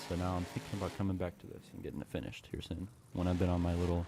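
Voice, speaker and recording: Very deep, low-pitched man's voice, dark and mellow in tone, at a very fast pace. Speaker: gaming streamer. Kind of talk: casual live-stream chat. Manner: stuttering; halting.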